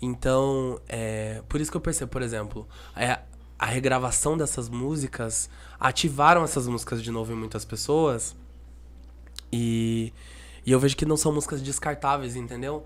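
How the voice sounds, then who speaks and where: Long, frequent pauses break up a man's otherwise moderate pace. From Brazil, Curitiba. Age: 20s. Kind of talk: casual chat. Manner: animated.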